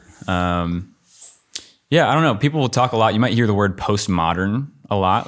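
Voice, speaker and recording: With a plain, everyday voice, a man talks at a moderate pace in a fairly low pitch, recorded very cleanly against a silent background. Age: 20s. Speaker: young adults pastor. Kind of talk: casual chat.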